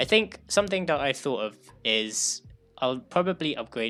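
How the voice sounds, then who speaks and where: A man with a bright, sharp tone, ordinary pitch variation and a moderate pace, on a very clean recording with a silent background. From UK. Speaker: live streamer and web developer. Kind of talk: live stream chat. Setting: live stream. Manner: hesitant, many filler words.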